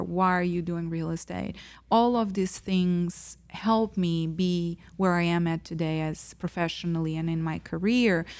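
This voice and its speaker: A woman with a Portuguese accent speaks at a moderate pace in a fairly low pitch. Her intonation is monotone and flat, and the recording is very clean with a silent background. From Portugal. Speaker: real estate agent. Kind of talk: casual interview chat.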